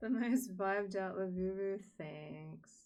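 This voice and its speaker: In a room with audible echo, a woman talks at a very slow pace in a relaxed tone. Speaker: art streamer. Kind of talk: casual live stream chat. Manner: relaxed, low-energy.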